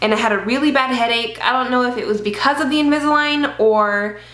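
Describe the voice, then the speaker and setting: Amid noticeable background noise and audible room echo, a woman talks with ordinary pitch variation. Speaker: beauty vlogger. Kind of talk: casual vlog. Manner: casual, chatty.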